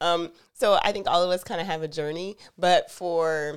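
An ordinary speaking voice from a woman with an American accent, fairly low in pitch, at a moderate pace, with ordinary pitch variation. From US South. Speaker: podcast co-host. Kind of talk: casual chat.

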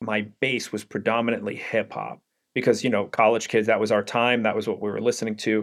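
A man with a New York accent speaks at a medium pitch on a very clean recording with a silent background. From Brooklyn, New York. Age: 40s. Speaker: brand strategist, former DJ. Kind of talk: interview. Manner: halting, many fillers.

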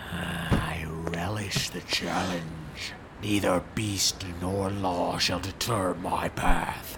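Loud background noise surrounds a man. He uses a put-on character voice at a very slow pace. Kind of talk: archaic, formal, knightly speech. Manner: solemn, earnest, self-important.

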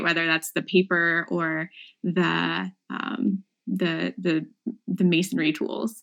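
Medium in pitch, a woman speaks in an American accent. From Appalachian Ohio. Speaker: history professor. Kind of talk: casual chat.

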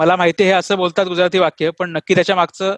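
A man's high-pitched voice, dry and close with no echo, over a quiet background. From Maharashtra, Dombivli. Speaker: software engineer and online language teacher. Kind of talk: interview.

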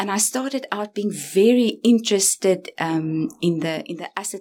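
A woman's speech shows ordinary pitch variation at a moderate pace, with noticeable background noise behind it. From South Africa, Stellenbosch. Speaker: university lecturer and researcher. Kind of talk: interview conversation. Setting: office.

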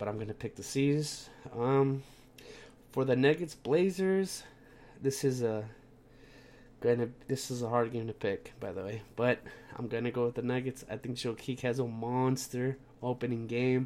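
At a moderate pace, the voice has a slightly mellow tone and ordinary pitch variation. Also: man, medium pitch for a man.

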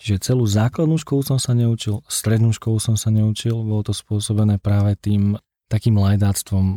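A plain, everyday voice talks at a moderate pace with fairly even intonation and very even loudness, in a dry, close sound with no echo. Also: man, fairly low pitch for a man, very clean recording, silent background. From Slovakia, Liptov region. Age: 20s. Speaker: guest sharing faith testimony. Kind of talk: testimony. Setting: studio.

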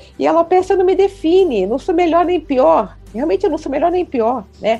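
With music playing in the background, a woman's voice swings very widely in pitch. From Rio de Janeiro, Brazil. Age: 60s. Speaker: city councillor. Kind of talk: interview.

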